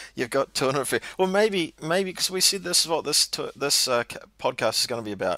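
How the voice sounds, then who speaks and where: A man with a New Zealand accent speaks at a fairly quick pace. The sound is dry and close, with no echo. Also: hardly any pauses. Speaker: podcast co-host. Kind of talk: casual chat.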